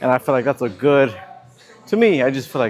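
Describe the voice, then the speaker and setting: A man mumbles in a relaxed tone at a medium pitch while noticeable background noise carries on around him. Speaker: fitness vlogger. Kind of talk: casual vlog narration. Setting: gym. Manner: mumbling; casual, relaxed.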